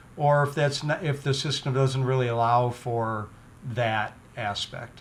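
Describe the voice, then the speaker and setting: A man's medium-pitched voice with an American accent, fairly even intonation and a fairly slow pace. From Michigan Upper Peninsula, small town. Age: 50s. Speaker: podcast host. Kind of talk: podcast interview. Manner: halting, with false starts.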